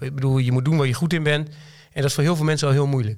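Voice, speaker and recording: This is a man speaking. His pitch is fairly high. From Twente, eastern Netherlands. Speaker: company director. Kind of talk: casual interview conversation. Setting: studio.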